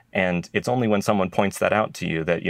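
A man speaks with an American accent. His intonation stays fairly even. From Idaho, US. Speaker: retail innovation lab head. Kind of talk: interview.

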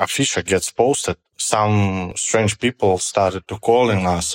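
A man's fairly low voice in a Russian accent at a very slow pace, dry and close with no echo, on a very clean recording with a silent background. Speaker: stand-up comedian. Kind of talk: interview. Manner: halting.

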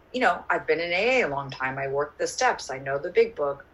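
A woman's voice over noticeable background noise. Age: 40s. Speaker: AA meeting speaker. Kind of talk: testimony. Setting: video call. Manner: halting.

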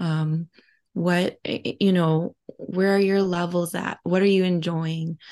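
A woman speaks at a fairly low pitch in a monotone, flat intonation. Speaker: podcast co-host and guest. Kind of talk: casual reflective chat. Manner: reflective, halting with fillers.

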